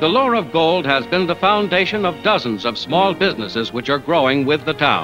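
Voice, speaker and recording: Music plays in the background as a man talks at a fairly high pitch. His pitch swings very widely while his loudness stays very even. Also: fairly quick pace. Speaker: newsreel narrator. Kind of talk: 1940s newsreel narration.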